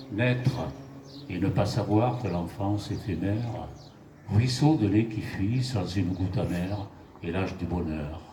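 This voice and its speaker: Over noticeable background noise, a man with a fairly low pitch speaks at a very slow pace with lively intonation. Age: 80s+. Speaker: amateur poet. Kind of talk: poetry reading. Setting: live venue with microphone.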